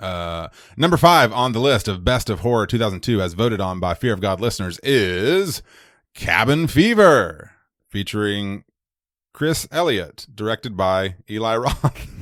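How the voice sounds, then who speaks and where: On a very clean recording with a silent background, a man speaks in an ordinary speaking voice. His pitch is fairly low, his intonation lively and his pace moderate. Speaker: podcast co-host. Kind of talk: casual chat.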